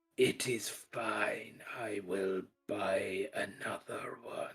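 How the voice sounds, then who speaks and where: A man uses a put-on character voice that is raspy. He speaks at a very slow pace. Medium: actual play. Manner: formal, condescending.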